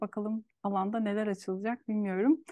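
A woman with an ordinary speaking voice talks at a moderate pace, fairly high in pitch with fairly even intonation. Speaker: podcast host. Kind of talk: interview conversation. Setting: video call.

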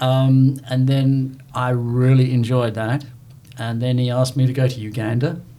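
A man with a British accent speaks in a monotone, flat intonation amid audible room echo. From southern England. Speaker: church member and former Marine. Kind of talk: interview testimony. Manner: storytelling.

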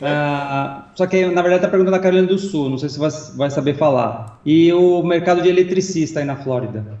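Noticeable background noise fills the recording. Over it, a man talks fairly quickly. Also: ordinary pitch variation. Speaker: co-host and assistant. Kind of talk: casual chat.

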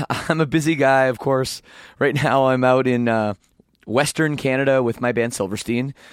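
A man with a medium-pitched, unremarkable speaking voice talks at a moderate pace in a very clean recording with a silent background. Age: 30s. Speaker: podcast host and band lead singer. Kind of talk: casual interview. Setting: backstage at a concert venue.

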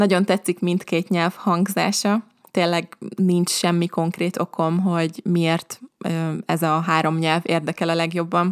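A woman's fairly low, monotone voice with flat intonation, very even loudness and a fairly slow pace, in a dry, close sound with no echo. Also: very clean recording, silent background. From Hungary. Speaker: language teacher podcaster. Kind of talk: podcast monologue. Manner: slow and clear for learners.

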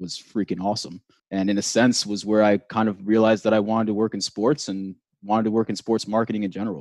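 The background is quiet, and the sound is dry and close with no echo. A man speaks with fairly even intonation. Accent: American. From New York. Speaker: esports professional. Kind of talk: interview. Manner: halting.

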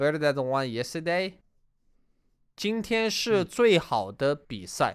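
With a Chinese accent, a man talks at a fairly slow pace with long, frequent pauses and very wide pitch swings, on a very clean recording with a silent background. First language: Chinese dialect. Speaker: Chinese language co-teacher. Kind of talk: language lesson.

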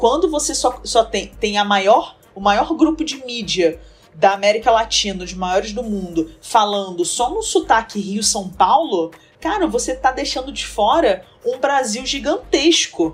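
In a Rio de Janeiro accent, a woman speaks at a fairly slow pace with a fairly high, somewhat breathy voice and very wide pitch swings. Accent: carioca accent, noticeable. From Rio de Janeiro, Brazil. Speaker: presentation design entrepreneur. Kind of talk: casual interview chat.

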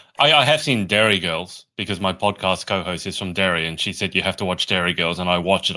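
With an Australian accent, a man talks at a fairly quick pace in a very deep, low voice, his tone bright and sharp and his pitch varying an ordinary amount. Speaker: podcast host. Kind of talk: interview. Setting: video call. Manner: jokey, laughs often.

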